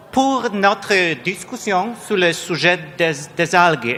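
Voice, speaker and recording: This man has a Polish accent. He speaks at a fairly slow pace. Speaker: panel chair, research director. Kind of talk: panel moderation. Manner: halting, many repetitions.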